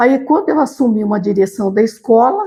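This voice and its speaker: Her dark, mellow tone sits at a high pitch, as this woman's voice swings very widely in pitch. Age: 70s. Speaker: retired teacher and school director. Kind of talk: interview.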